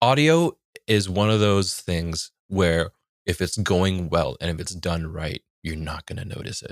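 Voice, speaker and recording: A man's very deep, low voice with an American accent, fairly slow, with ordinary pitch variation, big swings in loudness and a dry, close sound with no echo. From San Francisco Bay Area, US. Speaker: tabletop RPG performer and producer, voice actor. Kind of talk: casual interview chat.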